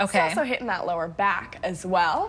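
A woman's pitch swings very widely as she talks at a fairly quick pace. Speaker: guest. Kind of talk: tutorial. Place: studio.

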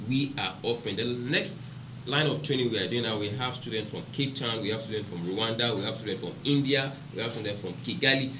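A man speaks with a Nigerian accent and ordinary pitch variation. Noticeable background noise runs underneath. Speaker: biomedical research institute founder; podcast panelist, business trainer. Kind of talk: panel discussion. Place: studio.

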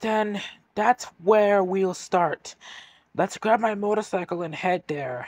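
A raspy put-on character voice moves at a fairly slow pace with ordinary pitch variation. The recording is very clean and dry, close with no echo and a silent background. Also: man, high pitch for a man. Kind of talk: audio drama dialogue.

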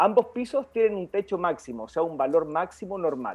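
This man speaks with a high pitch. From Chile, Maule region (Linares). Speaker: medical doctor. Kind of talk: health talk show interview, explanatory. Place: home room. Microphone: video call.

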